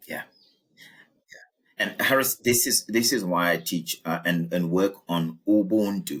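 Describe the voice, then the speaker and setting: A man with a South African accent, fairly low in pitch, at a very slow pace and with ordinary pitch variation. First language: isiZulu. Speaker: executive coach. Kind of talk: interview conversation.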